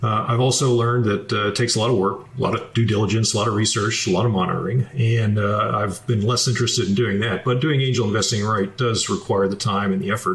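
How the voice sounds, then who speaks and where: Speaking fairly briskly with a mostly level intonation, a man is heard against clear background noise. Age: 60s. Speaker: military retiree and finance author. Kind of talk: interview. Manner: measured, with frequent filler 'uh'.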